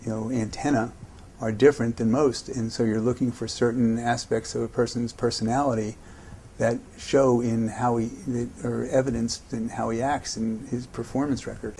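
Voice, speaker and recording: Speaking at a fairly quick pace with an American accent, a man has a medium-pitched voice and a dark, mellow tone. His intonation is monotone and flat. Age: 60s. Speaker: investor. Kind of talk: interview answers.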